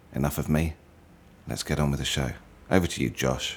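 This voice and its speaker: A man speaks in a British accent with fairly even intonation. Noticeable background noise is present. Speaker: podcast host. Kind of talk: podcast intro.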